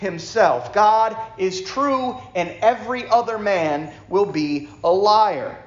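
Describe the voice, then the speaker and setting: Speaking very slowly in a high-pitched voice with an American accent, a man uses lively intonation, with audible room echo and noticeable background noise around him. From New York. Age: 40s. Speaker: preacher. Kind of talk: fervent church sermon, exhorting a responsive congregation that answers back with amens. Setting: church service. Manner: warm and conversational, with self-deprecating asides; emphatic, rhythmic preaching cadence with repeated phrases, building up intensity.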